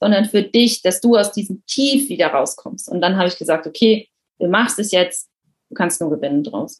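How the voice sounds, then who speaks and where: A woman speaks at a moderate pace and medium pitch, her voice somewhat breathy. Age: 30s. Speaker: coaching client, project manager. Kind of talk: interview.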